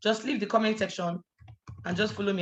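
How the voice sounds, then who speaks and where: Somewhat breathy, a woman speaks in an animated tone with ordinary pitch variation. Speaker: business mentor. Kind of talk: online business training. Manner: fast.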